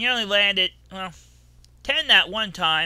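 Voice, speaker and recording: Here a man puts on a character voice, pitched high. He keeps a moderate pace. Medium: actual play. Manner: dry, teasing.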